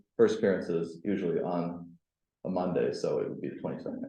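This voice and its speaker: Audible room echo surrounds a voice moving at a fairly quick pace. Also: man. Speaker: tenant law presenter. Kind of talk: presentation. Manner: fast.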